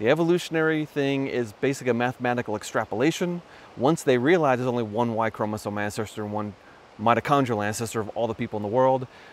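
Speech comes at a very fast pace, with a dry sound that has no echo and light background noise. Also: man, ordinary pitch variation. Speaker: presenter. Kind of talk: explanatory vlog talk. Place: waterside. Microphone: phone near.

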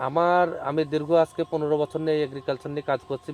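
The speaker is a man. He talks at a fairly high pitch. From Bangladesh, Chuadanga district. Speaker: farmer. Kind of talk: interview. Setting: outdoors.

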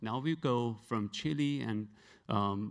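A man's pitch varies in an ordinary way, and the background stays quiet. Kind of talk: presentation talk. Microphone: handheld.

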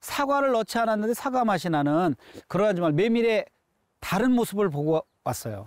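A man with a high pitch speaks at a moderate pace with lively intonation. The background is quiet and the sound is dry with no echo. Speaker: guest. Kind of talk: interview answer. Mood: warm, enthusiastic. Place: open country. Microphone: lapel.

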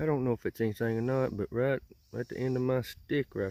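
A man talks with a dark, mellow tone. The sound is dry, with no echo. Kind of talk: casual vlog chat. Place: farm machine. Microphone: phone near.

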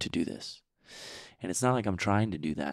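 This man's pitch varies in an ordinary way. The sound is dry and close with no echo, on a very clean recording with a silent background. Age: 20s. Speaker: faith podcast host and fitness coach. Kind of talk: casual faith conversation.

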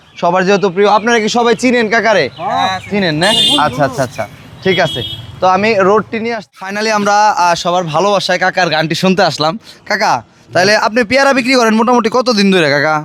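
Lively intonation carries through noticeable background noise. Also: man, high pitch for a man. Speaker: street video blogger. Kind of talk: casual street interview.

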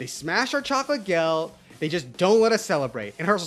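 A plain read-aloud delivery, lively in its intonation

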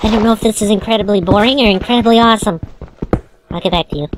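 This is a put-on character voice with a fairly high pitch. The delivery comes at a very fast pace. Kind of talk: comedic let's play commentary. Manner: cartoonish.

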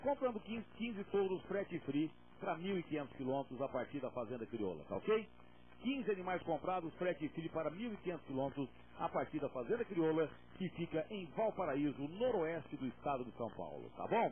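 The voice makes very wide pitch swings over light background noise. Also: man, fairly high pitch for a man, moderate pace, dry sound with no echo. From Brazil. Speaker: rural auctioneer. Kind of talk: auctioneer announcing sale terms, then opening the auction. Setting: live auction event with an audience. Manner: salesman-like, upbeat, cheerful, addressing the crowd as friends. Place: studio. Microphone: handheld.

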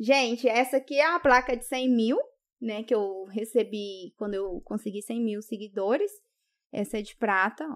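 A woman's fairly high voice at a moderate pace, with big swings in loudness against a quiet background. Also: ordinary pitch variation. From Brazil, Rondônia. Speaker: YouTuber. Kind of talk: casual chat. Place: studio. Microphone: studio mic.

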